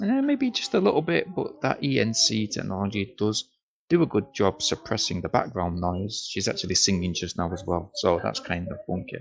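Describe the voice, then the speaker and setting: A man speaks quietly at a moderate pace. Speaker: product reviewer. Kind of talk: casual product demo. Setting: noisy room at home. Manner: quiet, low volume.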